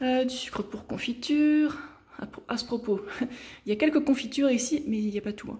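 A woman's speech moves at a moderate pace, its pitch varying in an ordinary way, with light background noise behind it. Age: 30s. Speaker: lifestyle YouTuber and nutrition coach; lifestyle vlogger. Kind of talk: casual home tour video; casual vlog chat. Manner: chatty, with frequent hesitations. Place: kitchen. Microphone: phone near.

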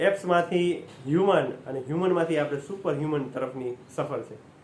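Audible room echo carries a man's fairly high voice, which has ordinary pitch variation. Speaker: motivational speaker. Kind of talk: motivational talk.

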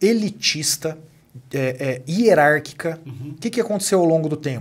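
Lively intonation marks a man's fairly high-pitched voice, delivered at a moderate pace. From Brazil, Minas Gerais (Uberaba); Minas Gerais, Brazil. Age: 30s. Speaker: company executive and author; podcast guest. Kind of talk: podcast interview. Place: studio. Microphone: studio mic.

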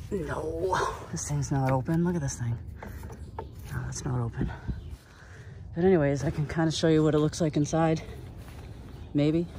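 Long, frequent pauses break up speech at a moderate pace, with noticeable background noise behind it. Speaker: travel vlogger. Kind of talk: casual vlog narration while hiking. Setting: outdoors on a mountain trail.

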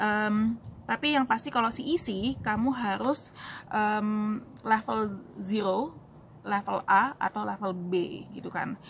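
A woman with a fairly high pitch and a somewhat breathy voice speaks at a very slow pace with ordinary pitch variation over light background noise. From Indonesia, raised in Surabaya; Indonesia. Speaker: YouTuber answering immigration questions. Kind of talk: casual Q&A vlog. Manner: casual with many fillers. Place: street. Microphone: phone near.

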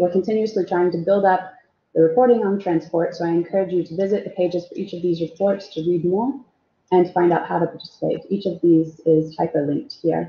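A somewhat breathy woman at a fairly low pitch with ordinary variation, fairly quick, with big swings in loudness. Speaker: renewable energy policy researcher. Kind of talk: webinar presentation. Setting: video call.

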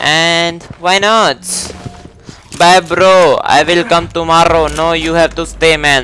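Against light background noise, a man with a high voice talks fairly slowly in a flat, monotone way. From India. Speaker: gaming streamer. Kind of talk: live gameplay commentary; casual gaming commentary. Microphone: headset.

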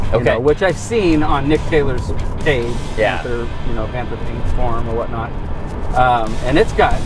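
Clear music plays behind a man whose voice has ordinary pitch variation and a dry sound with no echo. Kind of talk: casual conversation. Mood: excited about buying car. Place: car.

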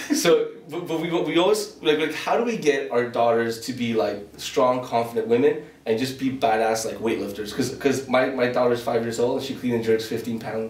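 Talking at a fairly quick pace, a man is heard with audible room echo around him. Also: ordinary pitch variation. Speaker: podcast host. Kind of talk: casual podcast intro and interview question. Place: studio.

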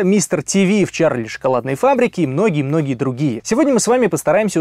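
The man's tone is dark and mellow, with lively intonation. The sound is dry with no echo, over a quiet background. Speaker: interviewer. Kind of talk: podcast host intro and interview questions. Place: studio. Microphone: studio mic.

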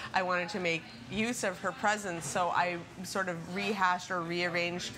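At a moderate pace, a woman with a fairly low voice and fairly even intonation speaks over noticeable background noise. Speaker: interviewee. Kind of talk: interview answer. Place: cafe. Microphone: camera far.

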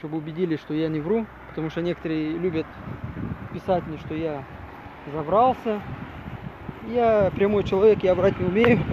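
At a moderate pace with long, frequent pauses, the speech shows ordinary pitch variation against noticeable background noise. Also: man, high pitch for a man. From Gagauzia, Moldova (Comrat). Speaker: video blogger, former city hall worker. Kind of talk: vlog walk-and-talk commentary. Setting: outdoors by a river. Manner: hesitant, many fillers.

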